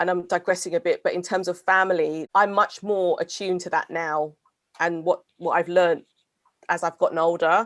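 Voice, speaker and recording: Recorded with a dry, close sound and no echo, a woman with a British accent speaks at a moderate pace in a monotone, flat intonation. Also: fairly low pitch for a woman. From England, Thai heritage. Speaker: podcast co-host. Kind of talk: casual chat.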